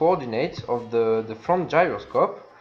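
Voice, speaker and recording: A man talks with lively intonation and a non-native accent. Noticeable background noise runs behind him. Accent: non-native English, self-described imperfect. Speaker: video game tutorial creator. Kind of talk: tutorial. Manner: halting, many fillers.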